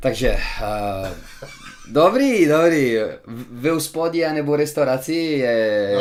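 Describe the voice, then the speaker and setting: Someone speaks at a very slow pace with long, frequent pauses over noticeable background noise. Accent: Italian. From Italy. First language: Italian. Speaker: restaurant owner. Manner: hesitant, many fillers.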